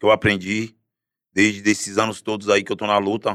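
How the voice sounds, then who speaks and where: Recorded very cleanly against a silent background, a man with a fairly low pitch speaks in a bright, sharp tone at a moderate pace. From Guarujá, Baixada Santista, São Paulo state, Brazil. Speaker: actor in a TV series and musician. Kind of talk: casual chat.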